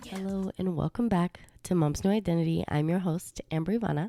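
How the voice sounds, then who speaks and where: Over music in the background, a woman talks at a moderate pace in a dry, close sound with no echo. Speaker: podcast host. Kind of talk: casual monologue podcast.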